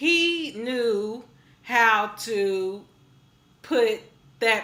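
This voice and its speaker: Audible room echo surrounds a woman whose bright, sharp, animated voice sits at a fairly high pitch with lively intonation. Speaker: music video reviewer. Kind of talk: casual review vlog.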